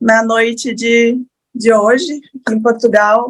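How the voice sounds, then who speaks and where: A woman's somewhat breathy, fairly high voice at a very slow pace with fairly even intonation. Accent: strong Rio Grande do Sul. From Rio Grande do Sul, southern Brazil. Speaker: lawyer, panelist. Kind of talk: panel talk.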